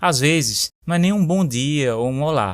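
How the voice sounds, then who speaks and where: Talking at a fairly slow pace, a man with a fairly high voice makes very wide pitch swings. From Recife, northeastern Brazil. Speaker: podcast host, Portuguese teacher. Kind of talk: scripted narration. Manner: clear, easy-paced for learners.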